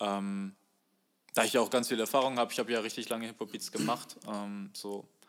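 His intonation stays fairly even at a medium pitch. The man speaks at a fairly quick pace. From Germany, Bochum (Ruhr area). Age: 20s. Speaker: fashion design student and musician. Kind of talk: casual chat. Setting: video call. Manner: halting, many fillers.

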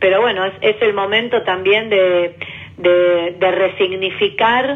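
With fairly even intonation and a medium pitch, a woman talks while noticeable background noise carries on behind her. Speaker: government official. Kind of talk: interview.

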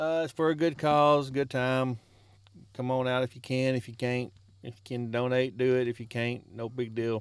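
A Southern US accent with fairly even intonation and big swings in loudness. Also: man, medium pitch for a man, moderate pace. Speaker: podcast host. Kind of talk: casual chat.

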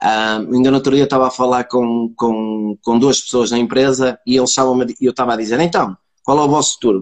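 With a plain, everyday voice, a man speaks at medium pitch and a moderate pace, his loudness very even and his intonation fairly even, in a dry, close sound with no echo. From northern Portugal, Braga area. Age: 40s. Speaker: sales professional. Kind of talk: casual interview chat. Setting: video call livestream.

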